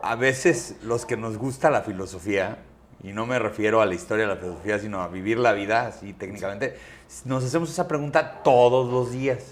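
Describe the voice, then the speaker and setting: A man speaks at a moderate pace with a medium pitch. He has an unremarkable speaking voice and lively intonation. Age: 40s. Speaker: transport company CEO and podcaster. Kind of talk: interview conversation.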